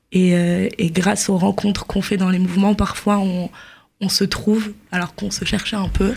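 In a somewhat breathy voice of medium pitch, a woman speaks at a fairly quick pace with monotone, flat intonation. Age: 20s. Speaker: journalist. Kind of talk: radio interview.

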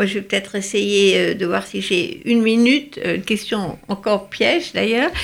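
Against noticeable background noise, a woman speaks fairly slowly at a medium pitch with ordinary pitch variation. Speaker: radio host, journalist. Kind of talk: radio interview. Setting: studio.

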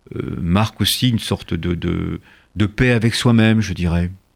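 At a very slow pace, a man speaks in a fairly low voice with ordinary pitch variation. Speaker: author and political sociologist. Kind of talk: interview. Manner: soft-spoken.

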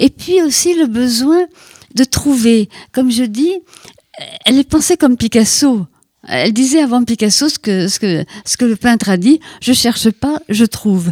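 A woman with a high voice and lively intonation speaks at a fairly slow pace with long, frequent pauses. The sound is dry and close with no echo. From Brittany, Finistère. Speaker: writer. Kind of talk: radio interview.

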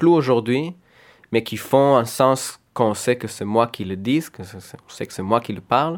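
A man with a Hebrew accent, fairly slow pace and ordinary pitch variation, on a very clean recording with a silent background. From Israel. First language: Hebrew (speaking French). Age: 20s. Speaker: painter and comic artist. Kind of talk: radio interview. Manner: halting.

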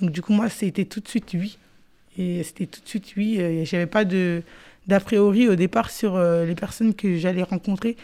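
Her tone dark and mellow, a woman speaks at a medium pitch and moderate pace with fairly even intonation in a very clean recording with a silent background. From Paris suburbs, France. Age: 20s. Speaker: youth project participant. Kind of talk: radio interview.

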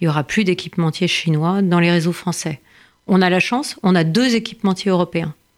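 With an ordinary speaking voice, a woman speaks at a fairly low pitch with ordinary pitch variation on a very clean recording with a silent background. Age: 50s. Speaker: member of parliament. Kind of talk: interview.

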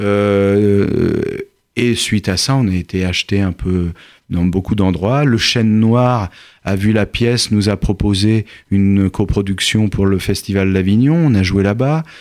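The speech comes at a very slow pace with ordinary pitch variation, in a very clean recording with a silent background. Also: man, fairly low pitch for a man. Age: 50s. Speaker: actor. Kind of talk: interview.

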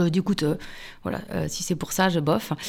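On a very clean recording with a silent background, a woman with an unremarkable speaking voice and fairly low pitch talks at a fairly quick pace with fairly even intonation. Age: 40s. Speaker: journalist and author. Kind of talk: radio interview.

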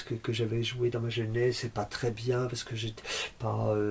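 The speaker is a man with a medium pitch. His voice is somewhat breathy. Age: 60s. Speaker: concert pianist and music teacher. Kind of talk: interview. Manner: halting, many repetitions and hesitations.

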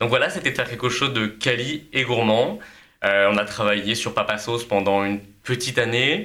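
A man talks at a moderate pace with a medium-pitched voice. His tone is bright and sharp, with ordinary pitch variation. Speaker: food entrepreneur. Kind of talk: casual chat. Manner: energetic.

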